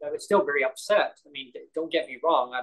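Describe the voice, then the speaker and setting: A man with a Canadian accent, a normal speaking voice, fairly high in pitch, at a fairly quick pace. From British Columbia, Canada (Langley). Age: 50s. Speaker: podcast host. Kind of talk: casual chat.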